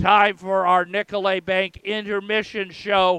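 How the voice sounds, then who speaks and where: A man with a high, hoarse voice speaks very slowly in a raised, projected way. His tone is bright and sharp, and the sound is dry and close with no echo. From Philadelphia, US. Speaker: radio play-by-play announcer and English teacher. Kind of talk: live sports commentary. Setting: radio broadcast booth at a rink. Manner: hoarse, strained from many games.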